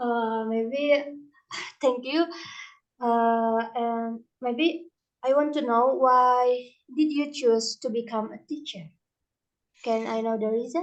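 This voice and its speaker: A woman's high-pitched voice with an Indonesian accent, at a very slow pace with long, frequent pauses and ordinary pitch variation. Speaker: student interviewer. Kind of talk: interview. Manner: hesitant.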